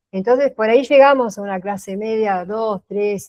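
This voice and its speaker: At medium pitch and a moderate pace, a woman speaks with an unremarkable speaking voice and ordinary pitch variation. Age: 60s. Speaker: workshop participant. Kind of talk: casual chat.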